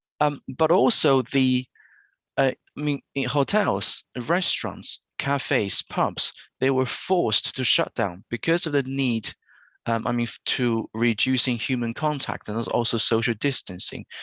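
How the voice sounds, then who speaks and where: A man speaks with a Chinese accent at a medium pitch, his tone bright and sharp. The pace is fairly slow with ordinary pitch variation, and the sound is dry and close with no echo over a quiet background. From China. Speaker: university lecturer. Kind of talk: conference presentation. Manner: hesitant, many fillers.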